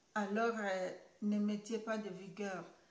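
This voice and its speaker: A woman's voice with audible echo from the room. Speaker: YouTuber. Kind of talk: vlog monologue. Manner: halting, many hesitations.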